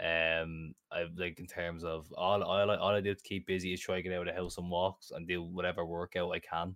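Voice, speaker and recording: The speaker has an Irish accent and talks at a fairly quick pace in a monotone, flat intonation with hardly any pauses. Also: man, very deep, low pitch for a man. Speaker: co-host. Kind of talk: casual chat.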